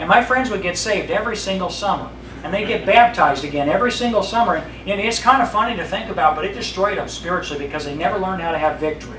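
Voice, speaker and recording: Over noticeable background noise, a man talks very fast at a high pitch with ordinary pitch variation. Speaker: pastor. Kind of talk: sermon. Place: church. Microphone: podium.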